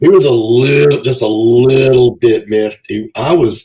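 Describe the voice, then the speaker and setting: With a dark, mellow tone, a man talks at medium pitch in a somewhat breathy voice. His pitch swings very widely. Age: 60s. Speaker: pro wrestler. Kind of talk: podcast interview. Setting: live stream.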